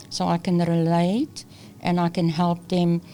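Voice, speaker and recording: A woman speaks with a fairly low voice. Her intonation is flat and monotone. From South Africa. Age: 60s. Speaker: employment consultant. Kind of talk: interview.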